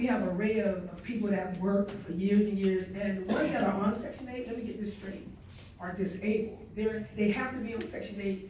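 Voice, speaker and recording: Noticeable background noise can be heard. The talking goes at a fairly quick pace. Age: 60s. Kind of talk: public comment at city council meeting. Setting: city council meeting. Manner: animated.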